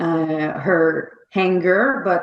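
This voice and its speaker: A woman speaks with a Quebec accent. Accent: French Canadian accent in English. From Quebec, Canada. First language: French. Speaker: novelist. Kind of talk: interview. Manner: halting.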